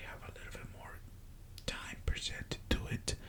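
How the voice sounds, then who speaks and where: The voice is whispering. Background noise is noticeable. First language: Spanish. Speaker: ASMR creator. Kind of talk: soft-spoken ASMR story time talking to camera. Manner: soft-spoken, slow, hesitant.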